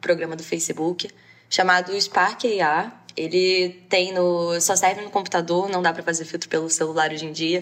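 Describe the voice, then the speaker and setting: An ordinary speaking voice at a moderate pace. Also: woman. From Brazil, Rio de Janeiro. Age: 20s. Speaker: law student and AR filter creator. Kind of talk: interview.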